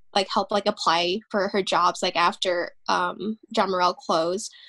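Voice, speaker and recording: On a very clean recording with a silent background, a woman speaks at medium pitch. Her intonation is monotone and flat, her tone bright and sharp. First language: Vietnamese. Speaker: interviewee. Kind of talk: interview. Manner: halting, many fillers.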